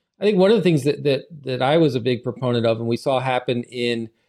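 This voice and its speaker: A man talks at a fairly quick pace with lively intonation, in an unremarkable speaking voice. The recording is very clean, with a silent background. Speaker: podcast host. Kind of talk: casual conversation podcast.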